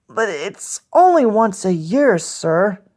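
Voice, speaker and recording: A raspy put-on character voice speaks at a fairly high pitch and a very slow pace. The recording is very clean, with a silent background. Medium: read story. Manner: nervous, stammering, deferential.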